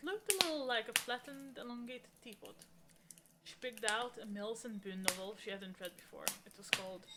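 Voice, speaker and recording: With noticeable background noise behind her, a woman speaks at a fairly quick pace with lively intonation. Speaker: streamer reading books aloud. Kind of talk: casual chat; reading aloud. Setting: live stream. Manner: loud.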